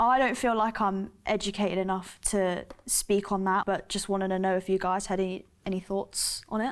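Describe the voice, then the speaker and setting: A woman with a British accent speaks at a medium pitch in a monotone, flat intonation. She leaves hardly any pauses. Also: moderate pace. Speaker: student ambassador. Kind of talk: casual discussion.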